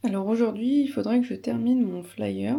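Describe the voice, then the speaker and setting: A woman at a moderate pace. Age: 30s. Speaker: vlogger and seamstress. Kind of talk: casual vlog. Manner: halting, many fillers.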